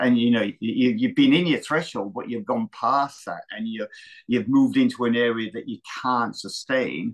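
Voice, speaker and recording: A man with an Australian accent at a moderate pace against a quiet background. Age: 60s. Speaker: retired marathon runner and running coach. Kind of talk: interview. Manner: halting, with many repetitions.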